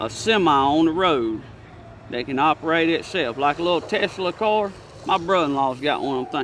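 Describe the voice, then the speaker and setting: A man speaks in a rural Southern US accent at a fairly high pitch and a fairly quick pace. His loudness swings widely. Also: lively intonation. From Alabama. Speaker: truck driver. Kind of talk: interview answer. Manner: casual, opinionated.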